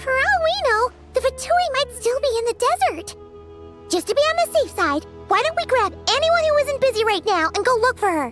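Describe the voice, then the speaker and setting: Against clear background music, a put-on character voice at an extremely high pitch speaks at a moderate pace. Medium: machinima. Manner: excitable, chatty.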